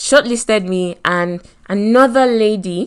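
An animated woman with a Nigerian accent against a quiet background. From Nigeria, Lagos. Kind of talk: motivational talk. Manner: animated, laughs often.

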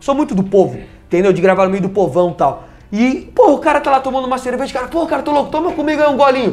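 An extremely high-pitched man talking at a very fast pace, with lively intonation. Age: 20s. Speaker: former TV sports reporter. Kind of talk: casual interview. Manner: halting, repetitive.

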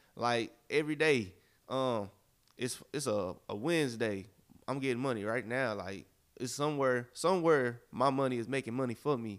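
A man with a plain, everyday voice speaks at a moderate pace, his medium pitch showing ordinary pitch variation. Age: 20s. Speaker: podcast co-host, entrepreneur. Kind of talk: casual chat.

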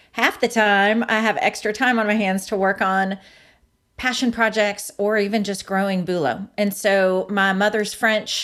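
On a very clean recording with a silent background, a woman uses a normal speaking voice at a medium pitch and a fairly slow pace, with very even loudness. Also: fairly even intonation. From France, Belgium and Switzerland; moved to Florida in high school. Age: 40s. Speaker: startup co-founder. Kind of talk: interview.

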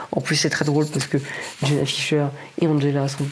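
A man talks at a very fast pace with a fairly high pitch. There is noticeable background noise. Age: 20s. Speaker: podcaster. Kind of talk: solo casual talk. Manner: halting.

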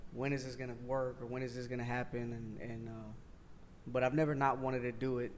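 A man talks at a medium pitch and a fairly quick pace. His intonation is monotone and flat, with audible room echo. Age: 30s. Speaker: streetwear brand owner. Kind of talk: casual interview.

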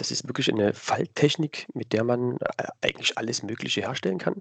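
Here a man talks at a medium pitch. His voice sounds dry and close, free of echo. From Saxony, Dresden. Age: 30s. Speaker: cosplayer. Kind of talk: interview answers.

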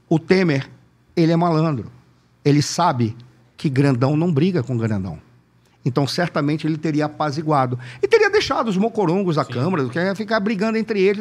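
A man's high voice with very wide pitch swings at a moderate pace. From Manaus, Brazil. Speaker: political analyst. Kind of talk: casual interview.

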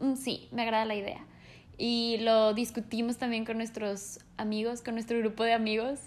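A woman's fairly high voice runs in a monotone, flat intonation. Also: moderate pace. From Mexico. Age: 20s. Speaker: podcast co-host. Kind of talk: casual chat. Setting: no studio, ambient sounds.

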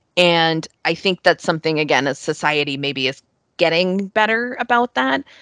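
A woman with a Mid-Atlantic American accent, a fairly low pitch and lively intonation at a moderate pace, in a dry, close sound with no echo and a quiet background. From New York / Northern Virginia, US. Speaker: English language coach. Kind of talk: casual interview.

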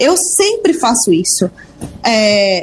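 Music plays in the background as a woman speaks. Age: 20s. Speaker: business mentor and entrepreneur. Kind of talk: radio interview.

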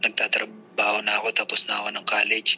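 A man talks at a moderate pace as noticeable background noise continues around him. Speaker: tattoo artist. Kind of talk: casual interview.

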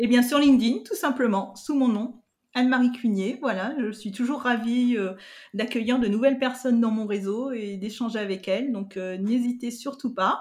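A high-pitched woman talks at a moderate pace with ordinary pitch variation. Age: 50s. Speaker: digital learning specialist and podcaster. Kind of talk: interview. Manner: hesitant, many fillers.

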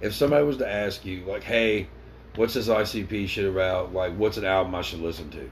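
Audible room echo surrounds a man speaking at a fairly quick pace. His fairly low pitch shows ordinary variation. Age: 30s. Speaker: podcast co-host. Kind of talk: casual chat.

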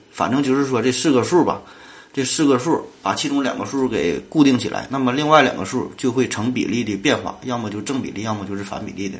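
A man at medium pitch, very fast pace and ordinary pitch variation, over noticeable background noise. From Northeast China. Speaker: podcast host. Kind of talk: solo science podcast. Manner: casual, filler-heavy.

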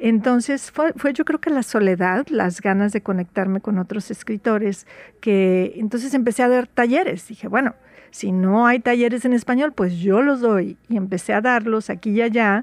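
A normal speaking voice at a moderate pace, with ordinary pitch variation and a dry, close sound free of echo. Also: woman, fairly high pitch for a woman. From Veracruz, Mexico. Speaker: writer. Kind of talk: radio interview.

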